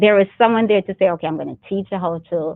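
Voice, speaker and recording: A woman speaks in a Jamaican accent. Her intonation is lively. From Jamaica (Clarendon, May Pen). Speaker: military reserve officer and nurse. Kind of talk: interview. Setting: studio, speaking through double glass and mask.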